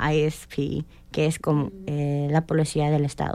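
At a very slow pace, a woman speaks in a very deep, low voice with a dark, mellow tone. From Indianapolis, US Midwest. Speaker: police cadet. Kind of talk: radio interview.

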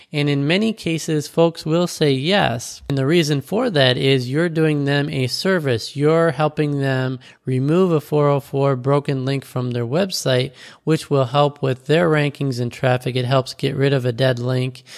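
This is a plain, everyday voice with ordinary pitch variation, talking at a fairly slow pace. The recording is very clean with a silent background. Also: man. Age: 40s. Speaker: podcast host. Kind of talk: solo podcast monologue.

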